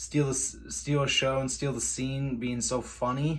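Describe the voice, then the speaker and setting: Somewhat breathy speech at a moderate pace, with monotone, flat intonation and audible room echo. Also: man. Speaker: YouTuber. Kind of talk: casual vlog talk.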